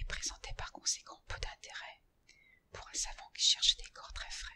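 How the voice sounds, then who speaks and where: Whispering at a moderate pace, a woman speaks. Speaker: ASMR artist. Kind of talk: whispered horror story reading for sleep. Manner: whispered, soft.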